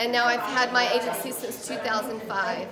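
A woman at a fairly slow pace, with crowd noise in the background. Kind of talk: interview answer. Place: hall. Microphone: phone near.

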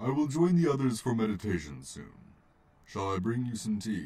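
A put-on character voice at a moderate pace. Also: man, medium pitch for a man. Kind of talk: comic dub. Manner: calm, gentle.

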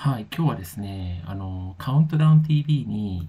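A man speaks in a fairly low pitch at a moderate pace. His voice is somewhat breathy. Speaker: music commentary youtuber. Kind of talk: casual monologue review. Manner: hesitant, many fillers.

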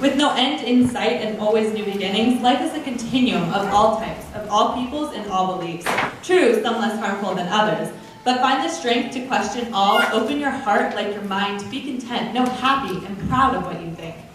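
A woman's fairly high voice carries strong room echo. Noticeable background noise sits underneath. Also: ordinary pitch variation, moderate pace. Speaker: student poet. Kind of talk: spoken-word poetry performance, trading lines with a partner. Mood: uplifting, proud. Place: church. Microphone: podium.

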